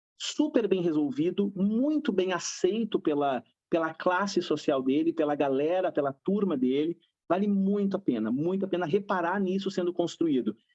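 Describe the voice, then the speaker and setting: At a moderate pace and a high pitch, a man talks in an animated tone with lively intonation and very even loudness. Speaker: psychologist. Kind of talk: panel discussion.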